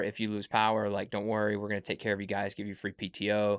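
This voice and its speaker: A man speaks at a very fast pace with a fairly low pitch. The sound is dry and close with no echo, over a quiet background. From Mississippi. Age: 20s. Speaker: podcast host. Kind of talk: casual chat.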